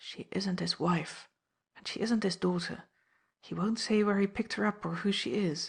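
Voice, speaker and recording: A woman's put-on character voice at a medium pitch and moderate pace, over a quiet background. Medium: read story. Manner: blunt, terse.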